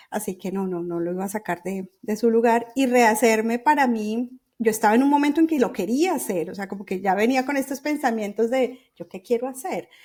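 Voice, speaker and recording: A woman speaks at a fairly quick pace with hardly any pauses, her fairly high voice carried by lively intonation. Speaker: journalist and writing workshop founder. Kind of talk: podcast interview. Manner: halting, many restarts and fillers.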